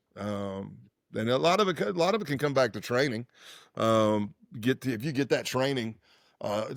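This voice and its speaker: A man talks at an even, middling speed, captured very cleanly with total silence behind him. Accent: American. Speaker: former undercover federal agent. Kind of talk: interview. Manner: casual, conversational.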